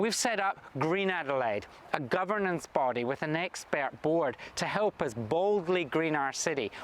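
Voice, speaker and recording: A man's fairly high-pitched voice in a Scottish accent, fairly slow in pace, with noticeable background noise. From Scotland. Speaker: state government minister. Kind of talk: recorded video address.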